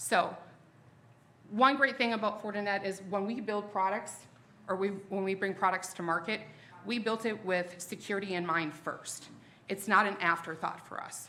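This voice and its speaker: Speaking at a medium pitch, a woman uses ordinary pitch variation. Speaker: sales presenter for a security vendor. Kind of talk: product presentation to a live audience. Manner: fast; casual, self-interrupting.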